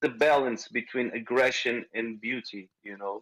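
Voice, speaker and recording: A man speaks at a medium pitch with a Portuguese accent. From Portugal, rural village near small city. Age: 40s. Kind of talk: interview. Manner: halting.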